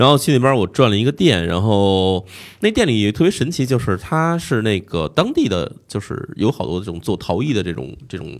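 Pitched fairly low, a man swings very widely in pitch as he talks at a moderate pace with hardly any pauses. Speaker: podcast host guest, Japan travel expert. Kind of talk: casual chat.

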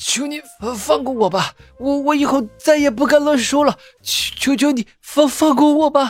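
A put-on, female-sounding character voice comes across as shaky at a moderate pace. Faint music plays in the background. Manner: pleading, terrified.

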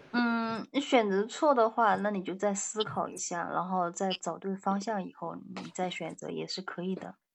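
A woman speaks at a medium pitch that varies in an ordinary way. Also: moderate pace. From near Shanghai. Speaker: doctor. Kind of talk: casual chat practice. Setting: online voice call.

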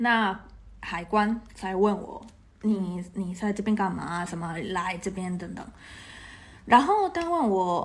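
Very slow, somewhat breathy speech with a Taiwanese accent, long, frequent pauses, big swings in loudness and audible room echo. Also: woman, medium pitch for a woman, fairly even intonation. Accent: Taiwanese-accented Mandarin. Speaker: podcast guest, expat. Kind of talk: casual chat. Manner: hesitant, many fillers.

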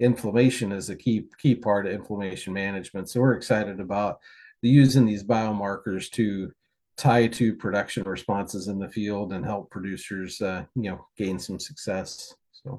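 A man's fairly low voice at a moderate pace, with fairly even intonation against a quiet background. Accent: US Midwestern. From Kansas, US. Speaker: swine nutritionist. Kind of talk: interview.

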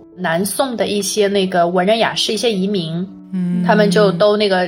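A woman's medium-pitched voice at a fairly quick pace over noticeable background noise. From Huzhou, Zhejiang, China. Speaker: local guest explaining hometown history. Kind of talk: casual chat.

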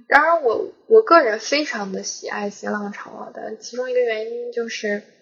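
Her loudness swinging widely, a woman speaks at a fairly high pitch. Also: moderate pace. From northern China, oilfield town near Beijing. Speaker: podcast co-host. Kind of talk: film discussion; casual chat.

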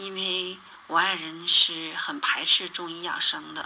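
The speech moves at a very slow pace over noticeable background noise. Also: woman. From Northeast China (Harbin). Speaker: radio show listener. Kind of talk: testimony.

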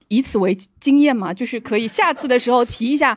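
On a very clean recording with a silent background, a woman speaks at a fairly quick pace. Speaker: audience member. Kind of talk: casual chat.

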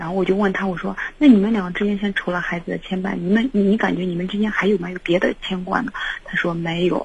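A woman speaks at a very fast pace with fairly even intonation. Noticeable background noise is present. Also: medium pitch for a woman. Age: 20s. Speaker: caller. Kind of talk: phone-in advice call.

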